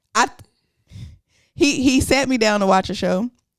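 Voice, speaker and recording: A woman speaks with very wide pitch swings. Her voice has vocal fry. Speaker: podcast co-host. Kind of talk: casual chat. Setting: sitting on a couch. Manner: fast.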